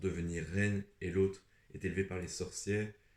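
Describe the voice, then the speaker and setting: A man's very deep, low voice at a moderate pace, flat and monotone in intonation. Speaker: booktuber. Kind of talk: casual vlog talk. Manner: hesitant, many fillers.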